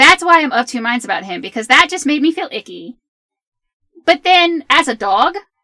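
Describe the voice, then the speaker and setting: A woman with an American accent uses a raised, projected, high voice with very wide pitch swings and big changes in loudness, speaking at a moderate pace in a dry, close sound with no echo. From US South, Southern Virginia. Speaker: podcast co-host, writer and filmmaker. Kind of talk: casual chat.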